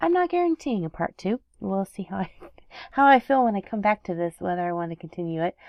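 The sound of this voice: The voice has vocal fry. Its intonation is lively. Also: woman, dry, close sound with no echo, slightly mellow tone.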